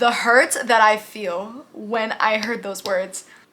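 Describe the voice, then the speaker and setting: A woman speaks in an animated tone at a high pitch. Noticeable background noise runs under her voice. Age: 20s. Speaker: beauty and lifestyle youtuber. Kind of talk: casual Q&A vlog.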